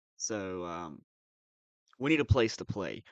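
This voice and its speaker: With a dry, close sound and no echo, a man's speech moves at a fairly slow pace. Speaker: live streamer reacting to funny videos. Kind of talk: casual live stream chat.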